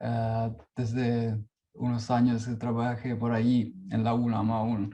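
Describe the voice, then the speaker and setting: With a non-native accent, a man speaks at a very slow pace in a dark, mellow tone, his medium pitch delivered in monotone, flat intonation. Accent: non-native Spanish speaker. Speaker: performance artist and researcher. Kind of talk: conference talk. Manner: halting.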